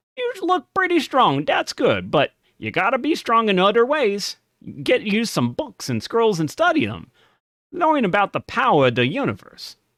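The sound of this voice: A man's put-on character voice at an extremely high pitch and moderate pace, dry and close with no echo, in a very clean recording with a silent background.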